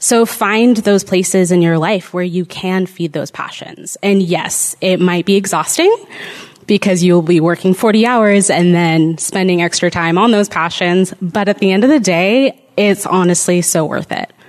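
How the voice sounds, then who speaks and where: A woman speaks fairly slowly in a plain, everyday voice, medium in pitch with ordinary pitch variation. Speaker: panelist. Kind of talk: panel Q&A.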